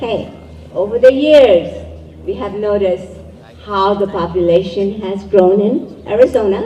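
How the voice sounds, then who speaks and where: Over noticeable background noise, a woman speaks fairly slowly at a medium pitch with ordinary pitch variation and big swings in loudness. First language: Urdu. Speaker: event emcee. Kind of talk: event speech. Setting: community event with live audience.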